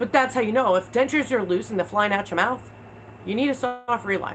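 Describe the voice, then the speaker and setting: Speaking with an American accent, a woman uses ordinary pitch variation. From New York, Long Island. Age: 30s. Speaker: video creator. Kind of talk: livestream chat. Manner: fast, rapid fire.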